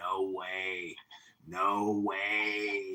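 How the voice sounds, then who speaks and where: A man puts on a nasal character voice at a fairly low pitch. An audible echo surrounds it. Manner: obnoxious, insistent.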